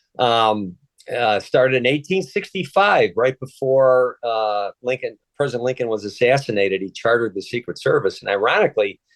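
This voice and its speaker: With a Chicago accent, a man uses lively intonation at a medium pitch, heard in a dry, close sound with no echo. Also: moderate pace. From Chicago, US Midwest. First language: Polish. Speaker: retired federal agent and author. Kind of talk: interview. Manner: halting, many fillers.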